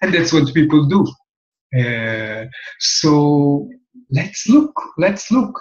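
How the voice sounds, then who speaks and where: In a room with audible echo, a man with a strong non-native accent speaks very slowly and somewhat breathily, his pitch swinging very widely between long, frequent pauses. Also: fairly high pitch for a man. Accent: heavy foreign accent in English. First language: Hebrew. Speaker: human design teacher. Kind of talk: talk-to-camera lecture. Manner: halting, with many fillers.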